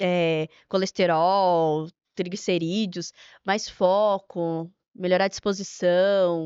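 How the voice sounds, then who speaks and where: At a very slow pace, a woman speaks at medium pitch in a monotone, flat intonation. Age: young. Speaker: nutritionist. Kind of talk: podcast interview.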